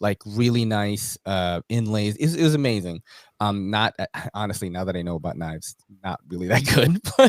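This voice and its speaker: With a New York accent, a man speaks at a fairly low pitch and moderate pace, his intonation lively. The recording is very clean with a silent background, and the sound is dry and close with no echo. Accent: New York American. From New York City, US. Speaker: knife YouTuber, podcast host. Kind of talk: casual interview chat.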